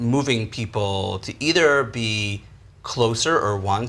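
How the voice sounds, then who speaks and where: Ordinary pitch variation from a man in an American accent. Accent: sounds American. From Israel. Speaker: panel moderator. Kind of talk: panel discussion.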